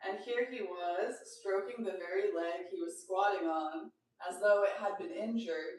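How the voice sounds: Quiet surroundings behind a natural reading voice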